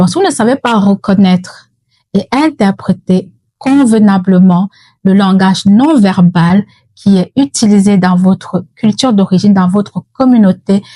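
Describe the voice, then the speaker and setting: A woman with a Cameroonian accent speaks at a medium pitch and a fairly slow pace, her tone dark, mellow and somewhat breathy. The sound is dry and close with no echo, and her pitch varies in an ordinary way. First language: Yemba (speaking French). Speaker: mental health educator. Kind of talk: educational talk.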